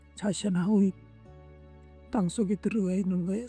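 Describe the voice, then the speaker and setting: Music plays in the background as a man speaks at a high pitch with ordinary variation. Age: 80s+. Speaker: grandfather giving life advice. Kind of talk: words of encouragement.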